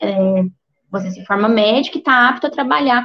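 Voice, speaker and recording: A woman's fairly high-pitched speech has a somewhat breathy quality. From southern Minas Gerais, Brazil. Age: 20s. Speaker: doctor. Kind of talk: career talk on a livestream. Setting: online livestream.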